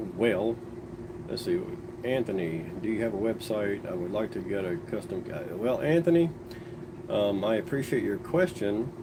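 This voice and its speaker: Amid noticeable background noise, a man at a medium pitch speaks at a moderate pace with very wide pitch swings and long, frequent pauses. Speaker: cue maker. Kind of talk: live stream chat. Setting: live stream. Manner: halting, repeats words.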